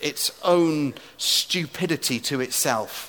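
Noticeable background noise sits behind the speaker. He is a man with a fairly high pitch and ordinary pitch variation. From England. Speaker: preacher. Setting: stage with audience in a tent.

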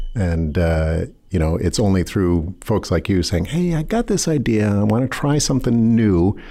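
Lively intonation colors a normal speaking voice that keeps a moderate pace. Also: man, fairly low pitch for a man. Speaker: rental house owner. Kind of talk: casual interview chat.

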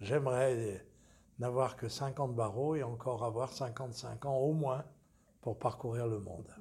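The voice is somewhat breathy, with a dark, mellow tone. It moves at a very slow pace with fairly even intonation. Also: man, medium pitch for a man. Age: 80s+. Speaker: lawyer. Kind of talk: interview.

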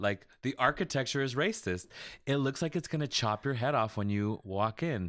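In an American accent, a man with an ordinary speaking voice talks at a moderate pace and a medium pitch on a very clean recording with a silent background. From Las Vegas, Nevada, US. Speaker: visual artist and podcaster. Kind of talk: casual interview chat.

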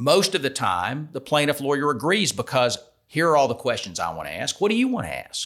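With an American accent and vocal fry, a man talks at a fairly quick pace, his fairly high pitch swinging very widely. The recording is very clean, with a silent background. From US South, Atlanta, Georgia. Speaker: civil defense attorney. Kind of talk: podcast interview. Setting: studio.

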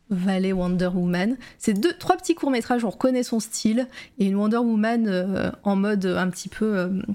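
Her tone dark and mellow, a woman speaks at a fairly slow pace. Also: medium pitch for a woman, ordinary pitch variation. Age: 30s. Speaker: live-stream interview host. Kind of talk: casual live-stream interview. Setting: online call over Discord with lag. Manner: hesitant, many fillers.

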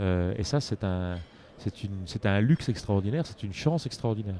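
Dark and mellow in tone, a man speaks at a moderate pace with lively intonation, the sound dry and close with no echo. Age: 50s. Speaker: coffee roaster and business owner. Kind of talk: interview. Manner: halting.

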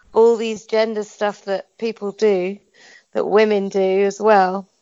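A woman speaks with a British accent. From UK. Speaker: activist. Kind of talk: casual chat.

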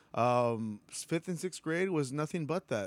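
A man with an American accent in an ordinary speaking voice, fairly high-pitched and at a moderate pace, on a very clean recording with a silent background. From US South, Texas (Weslaco). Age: 30s. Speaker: drummer. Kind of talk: casual chat.

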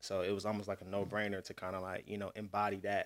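In an Atlanta accent, a man with a fairly low pitch speaks very fast in a monotone, flat intonation. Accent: Southern US, Atlanta. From Atlanta, Georgia. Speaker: music producer and podcast host. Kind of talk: casual chat.

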